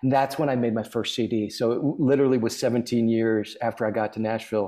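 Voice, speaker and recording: Man with an American accent, a medium pitch and a dark, mellow tone, at a fairly quick pace and fairly even intonation, over a quiet background. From US Midwest (Minneapolis, Nebraska). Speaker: singer-songwriter and author. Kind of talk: casual chat.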